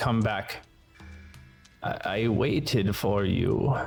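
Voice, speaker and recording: Put-on character voice, creaky and soft-spoken, at a very slow pace, with audible echo and music in the background. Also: man, medium pitch for a man. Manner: soft yet strong enough to be heard.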